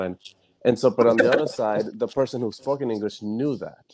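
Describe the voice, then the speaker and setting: A dark, mellow tone with a slight Spanish accent, fairly quick and fairly even in intonation. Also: man. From Fairfax, Virginia, US. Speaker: panel guest. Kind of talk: panel discussion. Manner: halting, many fillers.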